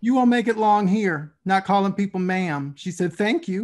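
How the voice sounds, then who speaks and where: A man with a Southern US accent talks fairly quickly in a high pitch. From US South, Tennessee (Nashville). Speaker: podcast host. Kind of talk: interview conversation.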